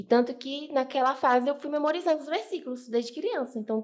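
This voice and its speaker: A woman is speaking. Her intonation is lively. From Bahia, Brazil. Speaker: podcast guest. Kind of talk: testimony.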